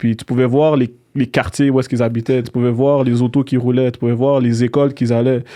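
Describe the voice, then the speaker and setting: Very fast and monotone, a man talks in a dark, mellow tone with flat intonation. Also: medium pitch for a man. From Quebec, Montreal. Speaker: real estate entrepreneur. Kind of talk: interview.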